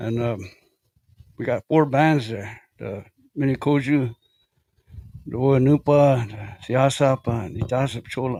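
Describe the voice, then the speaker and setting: With a Lakota accent, a man speaks in a dark, mellow tone with ordinary pitch variation and long, frequent pauses, in a dry, close sound with no echo. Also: medium pitch for a man, fairly slow pace. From South Dakota, Lakota community. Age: 60s. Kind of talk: testimony. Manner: halting, many fillers.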